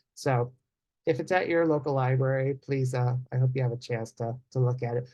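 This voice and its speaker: A man's medium-pitched, somewhat breathy voice with an American accent, at a moderate pace and with fairly even intonation. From West Virginia, Appalachia. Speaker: children's book author and literacy educator. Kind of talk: conference talk.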